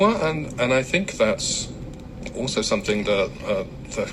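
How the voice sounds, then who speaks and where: The man speaks at a moderate pace with an English accent. Room echo is audible, and background noise is noticeable. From England, London. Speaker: community activist. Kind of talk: radio interview. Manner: halting, many fillers and repeats.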